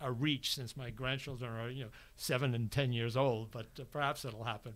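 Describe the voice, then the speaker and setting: Speaking with an American accent, a man talks at a fairly quick pace in a monotone, flat intonation. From New York. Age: 80s+. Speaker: martial arts student; podcast guest. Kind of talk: casual chat; interview answer. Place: studio. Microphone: studio mic.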